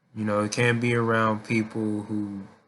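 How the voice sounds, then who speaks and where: Flat, monotone intonation from a man with a fairly low pitch. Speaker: vlogger. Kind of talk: casual monologue. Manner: halting.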